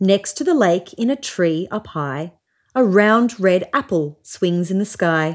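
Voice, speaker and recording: Against a quiet background, a woman with an Australian accent speaks at a fairly slow pace with lively intonation. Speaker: storybook reader. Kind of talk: children's picture book reading; dramatic reading for children. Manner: gentle storytelling. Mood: warm, expressive storytelling. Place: home room.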